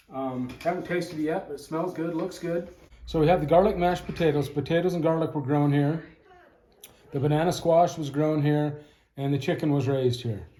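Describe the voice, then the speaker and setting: In a room with audible echo, a man speaks at a fairly quick pace in a fairly high pitch, his tone dark, mellow and relaxed and his intonation fairly even. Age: 60s. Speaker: homesteader. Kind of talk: cooking tutorial. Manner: casual, relaxed with fillers.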